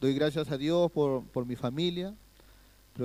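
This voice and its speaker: With ordinary pitch variation, this man's voice has a dark, mellow tone. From Peru. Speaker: guest pastor. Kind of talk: sermon. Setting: church.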